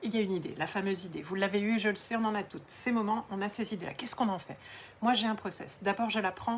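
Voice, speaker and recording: Somewhat breathy, a woman of medium pitch speaks at a very fast pace with fairly even intonation. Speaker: entrepreneur and coach. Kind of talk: social media talk to camera.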